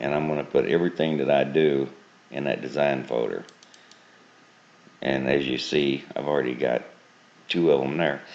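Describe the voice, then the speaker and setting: A man talks at a moderate pace in a very deep, low voice with flat, monotone intonation. He leaves long, frequent pauses, and there is noticeable background noise. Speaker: software tutorial maker. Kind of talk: tutorial. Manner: casual.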